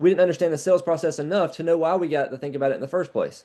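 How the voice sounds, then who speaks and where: A man speaks very fast in a fairly high-pitched voice with a dark, mellow tone and fairly even intonation over a quiet background. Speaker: sales trainer. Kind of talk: training call.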